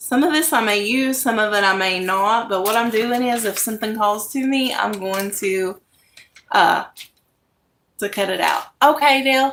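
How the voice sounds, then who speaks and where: This woman's voice sits fairly high, with ordinary pitch variation and a moderate pace. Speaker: craft YouTuber. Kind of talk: casual live-stream chat. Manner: speaking louder than usual.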